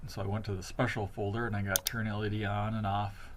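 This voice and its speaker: There is audible room echo. A man speaks in a somewhat breathy voice. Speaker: teacher. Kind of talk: tutorial. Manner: fast.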